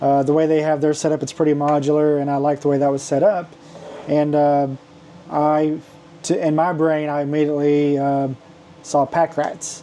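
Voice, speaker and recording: At a moderate pace, a man with a fairly high pitch speaks in a monotone, flat intonation, leaving long, frequent pauses. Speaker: maker selling custom toy accessories. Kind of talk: product showcase video. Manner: halting, many fillers; loud.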